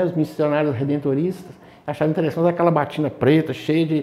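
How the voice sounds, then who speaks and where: A man speaks in a dark, mellow tone. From Governador Valadares, Minas Gerais, Brazil. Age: 60s. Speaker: parishioner interviewed about parish history. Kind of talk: interview reminiscence. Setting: parish confession room. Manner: hesitant, many fillers.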